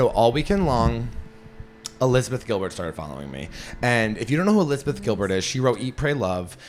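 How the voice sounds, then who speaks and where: A man talks very fast and loud at a medium pitch, with an American accent. His tone is animated, and his pitch swings very widely. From Western Massachusetts (Berkshires). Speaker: stand-up comedian and podcast host. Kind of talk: casual podcast chat.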